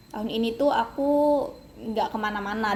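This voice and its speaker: This woman's voice sits at a fairly high pitch. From Kalimantan, Indonesia. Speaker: university student. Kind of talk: casual interview. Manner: hesitant, many fillers.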